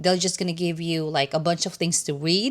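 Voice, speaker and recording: Someone with a non-native accent speaks on a very clean recording with a silent background. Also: woman. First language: not English. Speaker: nurse and doctoral student. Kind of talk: casual vlog update. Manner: hesitant with many fillers.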